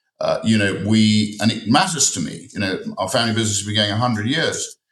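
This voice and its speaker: This man talks very fast in a fairly low pitch, varying it in an ordinary way. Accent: English. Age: 60s. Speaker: parliamentary candidate. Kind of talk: heated debate. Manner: animated.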